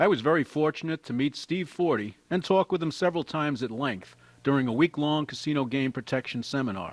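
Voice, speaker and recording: A man's lively intonation in a dry, close sound with no echo. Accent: New York. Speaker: retired gambling regulator and amateur magician. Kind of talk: scripted voiceover narration.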